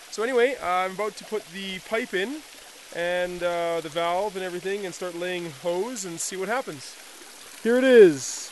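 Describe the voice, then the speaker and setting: Amid light background noise, a man with a high pitch talks at a moderate pace, showing ordinary pitch variation and big swings in loudness, in a dry sound with no echo. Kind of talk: casual vlog chat. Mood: relaxed, hopeful. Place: forest. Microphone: phone near.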